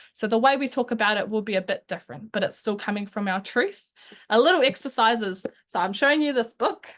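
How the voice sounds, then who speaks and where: With a New Zealand accent, a woman talks at a very fast pace in a fairly high voice. Her pitch varies in an ordinary way, and the background is quiet. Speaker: youth advocate. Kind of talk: webinar presentation.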